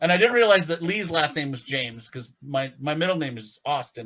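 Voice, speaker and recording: Lively intonation marks a man's unremarkable speaking voice as he talks at a fairly quick pace on a very clean recording with a silent background. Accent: Canadian. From Canada. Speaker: tabletop game player. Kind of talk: tabletop roleplaying session.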